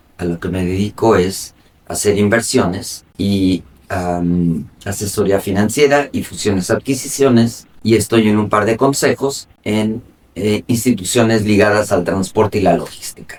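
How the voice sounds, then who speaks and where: A normal speaking voice, fairly slow, with ordinary variation in pitch. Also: man, fairly low pitch for a man. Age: 60s. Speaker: logistics executive and investor. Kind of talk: interview.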